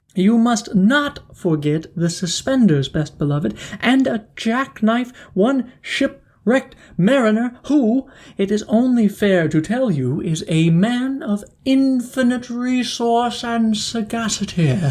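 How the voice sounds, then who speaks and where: A woman speaks in a put-on character voice. Her pitch is fairly high, and her pace is fairly slow. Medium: read story. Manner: sly, flattering.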